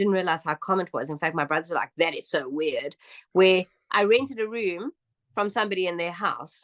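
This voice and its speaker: A woman with a South African accent talks fairly quickly in an animated tone at a medium pitch, her voice making very wide swings, with a dry, close sound, no echo and a quiet background. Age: 50s. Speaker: immigrant interviewee. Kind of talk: interview.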